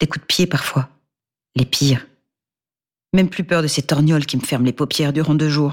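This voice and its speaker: With a very deep, low pitch, a woman talks at a moderate pace in fairly even intonation, leaving long, frequent pauses. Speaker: audiobook narrator. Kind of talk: scripted first-person noir monologue narration, read aloud as an anxious battered wife.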